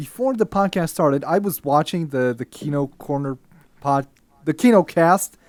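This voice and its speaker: A man with a fairly high pitch speaks at a moderate pace in an ordinary speaking voice with lively intonation. The sound is dry and close, with no echo. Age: about 30. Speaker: YouTuber and podcast guest. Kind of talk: casual chat.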